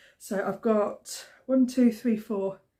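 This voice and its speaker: With a British accent, a woman speaks at a fairly high pitch in a somewhat breathy voice with a dark, mellow tone. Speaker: crafting vlogger. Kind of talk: casual chat. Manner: hesitant, many fillers.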